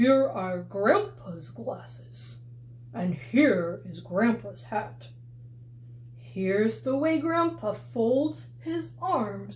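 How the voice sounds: A put-on character voice at a very slow pace, with clear background noise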